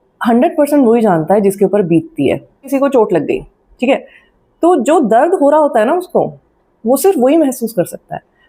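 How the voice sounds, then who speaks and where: A woman's high-pitched voice with a dark, mellow tone and very wide pitch swings. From Delhi, India. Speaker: YouTuber. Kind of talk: Q&A vlog. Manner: conversational, with frequent fillers.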